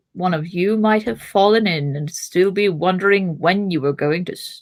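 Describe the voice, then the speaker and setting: Delivered at a moderate pace and a middle pitch, this is a put-on character voice. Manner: reading in a character voice.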